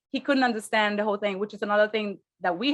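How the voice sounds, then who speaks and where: The speaker is a woman. She has a non-native accent. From Brazil, raised partly in Spain. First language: Portuguese. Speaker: real estate investor. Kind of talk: interview.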